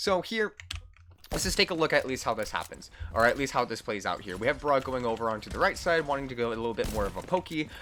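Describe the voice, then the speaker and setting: Loud and very fast, a man speaks at a medium pitch with a bright, sharp tone, vocal fry and very wide pitch swings. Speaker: esports coach. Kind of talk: gameplay review tutorial. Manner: loud and hyper; energetic, hesitant fillers.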